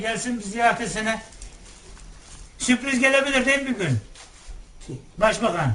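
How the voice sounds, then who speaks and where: A man speaks at a moderate pace with an extremely high pitch. Noticeable background noise runs behind him. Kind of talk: interviewer chatting with elderly woman.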